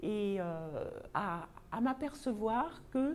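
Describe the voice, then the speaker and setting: A woman's dark, mellow tone sits at a fairly high pitch. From Paris, France. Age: 60s. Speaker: vlogger, personal development. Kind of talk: casual self-introduction monologue. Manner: hesitant, with frequent fillers.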